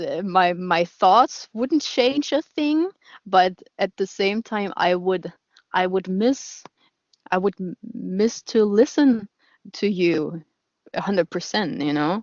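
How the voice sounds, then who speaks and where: The speaker talks at a very slow pace with lively intonation and long, frequent pauses. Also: woman, medium pitch for a woman. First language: German. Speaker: radio show host. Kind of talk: casual interview chat. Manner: halting, many repetitions and fillers.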